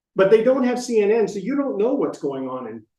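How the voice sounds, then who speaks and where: This man has an American accent and a dark, mellow tone, speaking at a fairly quick pace with a high pitch. His voice makes very wide pitch swings, and the room echo is audible. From US Midwest (Iowa and Illinois). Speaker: presenter on retiring abroad. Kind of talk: lecture. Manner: fast.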